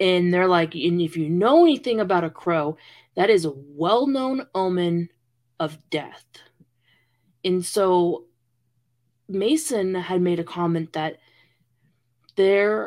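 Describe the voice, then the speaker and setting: A woman speaks very slowly with lively intonation, leaving long, frequent pauses. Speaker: podcast co-host. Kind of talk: dramatic narration of a ghost story, read aloud, mixed with casual banter.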